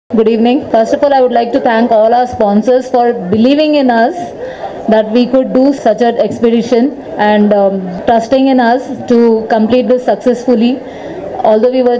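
A woman with fairly even intonation, crowd noise behind her. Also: very even loudness. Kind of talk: press conference speech. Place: hall. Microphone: handheld.

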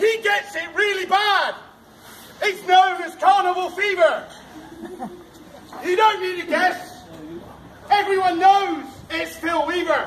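A loud man with an extremely high voice, fairly even intonation and a very slow pace broken by long, frequent pauses, over light background noise. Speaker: town crier. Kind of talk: town crier proclamation in rhyme. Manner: loud, projected, ceremonial. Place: street. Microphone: camera far.

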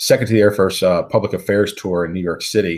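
Speaking fast, a man uses a low pitch with a slightly mellow tone and a slightly husky edge.

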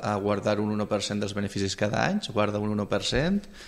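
This man has an ordinary speaking voice with a fairly low pitch. He talks at a fairly slow pace. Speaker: radio interviewer. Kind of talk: radio interview, hosting. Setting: radio studio. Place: studio.

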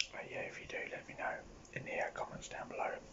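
A man is whispering at a moderate pace. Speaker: ASMR content creator. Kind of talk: casual ASMR talk to camera. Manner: whispered, rambling. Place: home room. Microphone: phone near.

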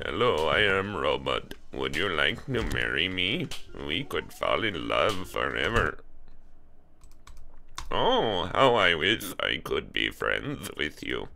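Long, frequent pauses break up a put-on character voice that goes at a fairly slow pace amid clear background noise. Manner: comical, sincere.

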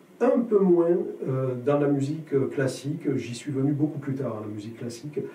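Audible room echo surrounds a man of fairly high pitch speaking at a moderate pace. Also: ordinary pitch variation. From southern France. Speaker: jazz guitarist and teacher; teacher. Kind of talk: interview. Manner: halting, many hesitations. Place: studio.

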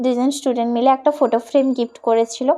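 High in pitch, a woman's voice shows ordinary pitch variation. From West Bengal, Contai (Purba Medinipur). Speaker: vlogger and model. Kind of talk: vlog narration. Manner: casual, chatty.

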